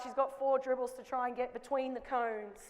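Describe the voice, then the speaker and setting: Audible room echo surrounds a woman's voice. She speaks at a high pitch and a moderate pace. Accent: Australian. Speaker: basketball coach. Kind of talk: coaching clinic demonstration. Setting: basketball court with live audience. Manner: loud.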